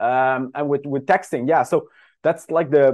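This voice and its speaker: A man with a Dutch accent talks at a fairly quick pace against a quiet background. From Netherlands. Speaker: dating service founder. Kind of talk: interview podcast.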